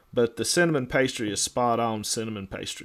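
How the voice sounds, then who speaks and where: In a Southern US accent, a man speaks at medium pitch and a moderate pace with fairly even intonation. The recording is very clean, with a silent background. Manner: hesitant, repeats words.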